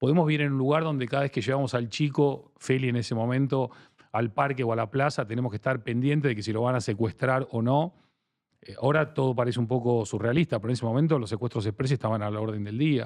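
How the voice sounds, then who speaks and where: A man's very rapid speech sits at a mid-range pitch that rises and falls normally. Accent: strong Argentine. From Argentina. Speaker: branding expert. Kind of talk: interview.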